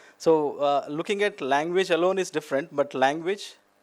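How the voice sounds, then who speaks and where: In a very clean recording with a silent background, a man with a Telugu accent talks at a fairly high pitch with ordinary pitch variation. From India, Telugu-speaking region. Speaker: academic speaker. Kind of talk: conference talk. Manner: hesitant fillers, many 'you know'.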